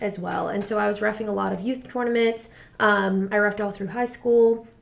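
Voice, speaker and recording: A woman with a medium pitch and an American accent. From Rhode Island, US Northeast. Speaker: high school soccer coach. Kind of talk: interview. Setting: studio. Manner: fast.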